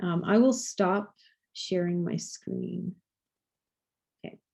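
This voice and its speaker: A woman's somewhat breathy voice with a dark, mellow tone and fairly even intonation. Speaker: physician presenting research. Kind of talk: lecture.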